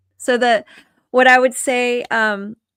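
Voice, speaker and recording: A woman speaks fairly slowly in a fairly high pitch and a calm tone. The recording is very clean with a silent background and a dry, close sound with no echo. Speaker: author sharing faith testimony. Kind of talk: interview testimony.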